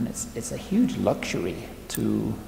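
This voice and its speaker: A man's moderately paced speech carries audible echo from the room along with noticeable background noise. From northern England. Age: 60s. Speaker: photographer. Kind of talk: interview monologue. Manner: hesitant, many repeated words and fillers.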